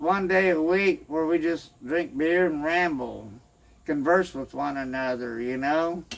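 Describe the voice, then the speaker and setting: This man has an American accent and a high pitch. He speaks very slowly with lively intonation. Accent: Southern hillbilly drawl. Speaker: homebrewing channel host. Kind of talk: casual self-introduction to camera. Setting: outdoors on a boat dock. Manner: rambling, halting with repeated words.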